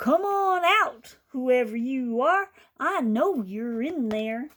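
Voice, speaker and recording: A high, put-on character voice comes from a woman. Her delivery is very slow. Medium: read story.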